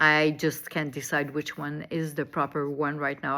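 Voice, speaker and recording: This woman has a very deep, low pitch, a bright, sharp tone and a French accent. She speaks at a fairly slow pace on a very clean recording with a silent background. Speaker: online commentator. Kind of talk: monologue. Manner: halting.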